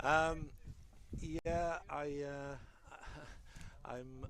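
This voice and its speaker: The speaker has a Welsh accent. Audible room echo surrounds the voice. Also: man. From Wales. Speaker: color commentator, former rugby referee and coach. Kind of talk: live sports commentary. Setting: commentary booth outdoors at rugby game. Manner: fast.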